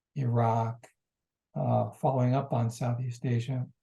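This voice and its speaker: A man with a medium-pitched, dark, mellow tone speaks at a fairly slow pace, sounding somewhat breathy. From United States. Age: 70s. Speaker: journalist and activist. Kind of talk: interview.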